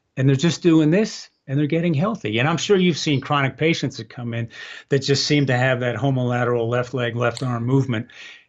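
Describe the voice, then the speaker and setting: An unremarkable speaking voice from a man, fairly high in pitch, with ordinary pitch variation and a fairly quick pace. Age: 60s. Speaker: product founder and balance trainer. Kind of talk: podcast interview.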